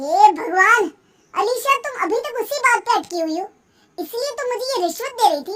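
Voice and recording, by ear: A cartoonish character voice from a woman, extremely high, raised and projected, with lively intonation at a fairly quick pace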